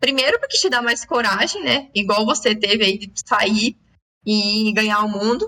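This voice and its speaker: The woman has an unremarkable speaking voice, fairly high in pitch. She talks at a fairly slow pace with ordinary pitch variation. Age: young. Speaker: podcast host. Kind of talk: casual chat.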